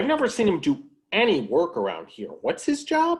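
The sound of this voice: In a cartoonish character voice, a man talks high for a man at a moderate pace, with very wide pitch swings and a slightly husky edge.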